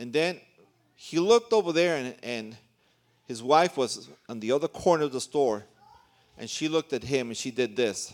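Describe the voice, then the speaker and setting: With lively intonation, a man talks at a moderate speed. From New York City, raised in Central America. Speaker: visiting pastor, preacher. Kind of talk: sermon, preaching. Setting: church.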